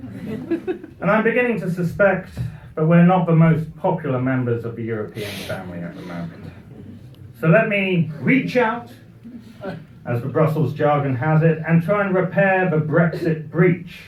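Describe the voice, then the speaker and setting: A man with a British accent speaks at a fairly high pitch and a moderate pace, his intonation lively. His loudness swings widely over noticeable background noise. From Britain. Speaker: comic speaker. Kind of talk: after-dinner humorous speech. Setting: party with audience.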